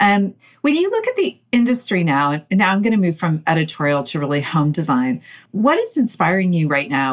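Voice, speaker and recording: A woman at a fairly quick pace, with lively intonation and a warm, upbeat tone, in a very clean recording with a silent background. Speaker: company co-founder interviewer. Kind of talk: casual interview chat. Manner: warm, upbeat, laughs often.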